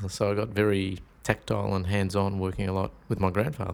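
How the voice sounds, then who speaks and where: A man speaks with a very deep, low voice. The recording is very clean, with a silent background. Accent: Australian. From Melbourne and rural Victoria, Australia. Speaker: shiatsu teacher. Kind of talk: casual interview.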